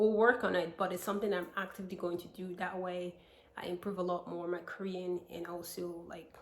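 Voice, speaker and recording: Over noticeable background noise, a woman with a fairly low pitch talks fairly quickly in a flat monotone, her loudness swinging widely. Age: 20s. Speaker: vlogger. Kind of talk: casual vlog talk to camera.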